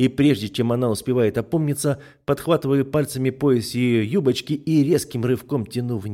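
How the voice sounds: Reading done in a natural voice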